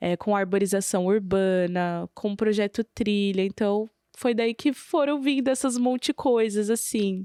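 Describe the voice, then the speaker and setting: A woman with a São Paulo accent speaks at a fairly slow pace with hardly any pauses, in a dark, mellow tone with ordinary pitch variation. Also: medium pitch for a woman, very even loudness, dry, close sound with no echo. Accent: São Paulo Brazilian Portuguese. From São Paulo city, East Zone, Brazil. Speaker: rapper. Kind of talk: interview conversation.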